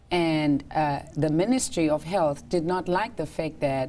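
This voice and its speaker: A woman's very deep, low voice with a dark, mellow tone, ordinary pitch variation and a moderate pace. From South Africa. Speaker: doctor. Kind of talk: talk show interview. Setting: studio.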